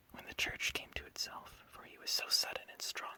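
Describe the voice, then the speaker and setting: Whispering at a moderate pace in a calm tone, over noticeable background noise. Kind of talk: sleep story. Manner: whispered; soft-spoken, calm.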